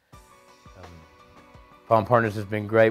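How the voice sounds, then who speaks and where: A Southern US accent over music in the background. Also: man. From Texas. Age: 40s. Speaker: addiction treatment patient. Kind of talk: testimonial interview. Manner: hesitant, casual.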